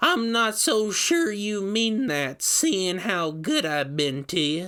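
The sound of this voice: A man's put-on character voice, high in pitch, with a bright, sharp tone, big pitch swings and a slow pace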